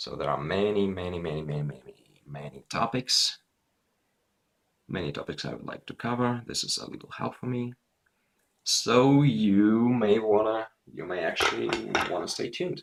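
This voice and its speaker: A man with a fairly low pitch speaks at a moderate pace, his pitch swinging very widely. His loudness also shifts a lot, and he pauses long and often. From Russia. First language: Russian. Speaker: gaming video creator. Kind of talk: casual gameplay commentary. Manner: halting, repetitive.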